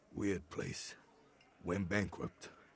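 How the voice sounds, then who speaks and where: A man puts on a raspy character voice in a fairly low pitch. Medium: video game. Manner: clipped.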